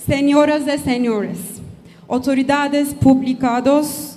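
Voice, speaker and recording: Over music in the background and audible room echo, a woman with a non-native accent speaks at a very slow pace. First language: not Portuguese (speaking Portuguese). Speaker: company director. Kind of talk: reading a prepared speech. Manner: halting with hesitations.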